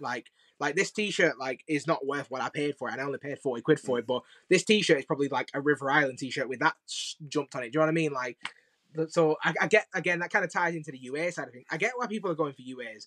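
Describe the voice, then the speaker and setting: With a Lancashire accent, a man speaks very fast at a fairly high pitch with ordinary pitch variation. The sound is dry and close with no echo, and his loudness swings widely. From Preston, northern England. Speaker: sneaker influencer. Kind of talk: casual chat.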